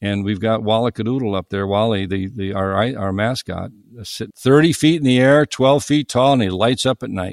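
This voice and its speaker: A man talks at a moderate pace with hardly any pauses. His pitch sits in the medium range and varies in an ordinary way. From US Midwest (northern Ohio, east of Cleveland). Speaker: plumber and business owner. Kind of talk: casual interview chat.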